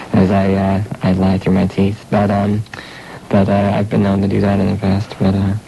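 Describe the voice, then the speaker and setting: Over noticeable background noise, a man with a fairly low pitch speaks at a moderate pace in a monotone, flat intonation, his loudness very even. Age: 20s. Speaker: college radio host. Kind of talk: radio interview. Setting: radio studio. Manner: hesitant, many fillers.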